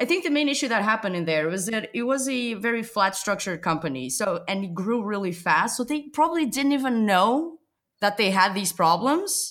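With a Portuguese accent, a woman talks at a fairly high pitch with very wide pitch swings. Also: fairly quick pace. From Portugal. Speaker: podcast host. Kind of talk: casual interview chat. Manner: playful, joking.

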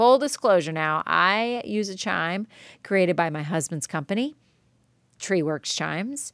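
Loud and animated, a woman speaks at a fairly slow pace and medium pitch with very wide pitch swings, on a very clean recording with a silent background. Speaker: art teacher podcaster. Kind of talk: solo podcast monologue.

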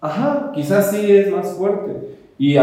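Very wide pitch swings from a male voice, plus audible room echo. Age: 30s. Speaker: drag performer. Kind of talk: interview conversation.

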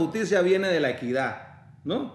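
There is noticeable background noise and audible room echo. A man speaks at a moderate pace with lively intonation. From Panama. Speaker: lawyer. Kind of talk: interview conversation. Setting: office.

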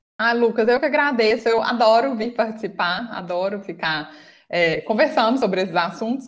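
With a Minas Gerais accent, a woman speaks at a moderate pace in a fairly high voice with ordinary pitch variation. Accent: Minas Gerais (mineiro) Portuguese. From Brazil, Minas Gerais. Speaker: English teacher and exam prep mentor. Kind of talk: interview.

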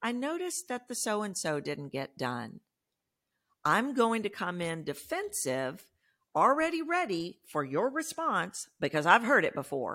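With a Texan accent, a woman at medium pitch speaks at a fairly slow pace in a bright, sharp tone with vocal fry and very wide pitch swings, on a very clean recording with a silent background. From Texas. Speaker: voice coach. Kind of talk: interview.

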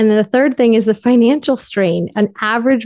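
A woman with an American accent talks at a fairly quick pace with fairly even intonation. She has a plain, everyday voice, and the background is quiet. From US Northeast, Connecticut. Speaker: infertility coach. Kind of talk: interview.

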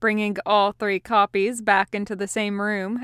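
Here we hear an unforced reading voice.

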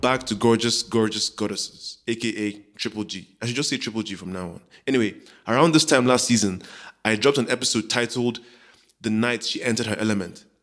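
A man talks at a fairly quick pace in an unremarkable speaking voice. His pitch sits in the medium range with ordinary variation. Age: 30s. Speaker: podcast host. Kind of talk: scripted narration; casual chat.

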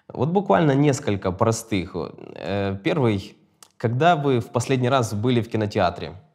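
Lively intonation marks this man's medium-pitched voice. He keeps a moderate pace but takes long, frequent pauses. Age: 30s. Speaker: podcast host. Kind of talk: interview.

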